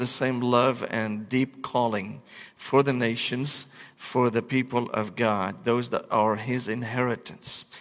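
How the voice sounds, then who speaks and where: Speaking with an Arabic accent, a man of medium pitch talks at a fairly slow pace in a monotone, flat intonation. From Syria, Damascus. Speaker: pastor. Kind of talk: sermon.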